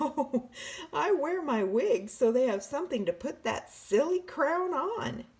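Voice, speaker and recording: A woman puts on a character voice, pitched high and swinging very widely in pitch at a fairly slow pace. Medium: read story. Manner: warm, gently amused.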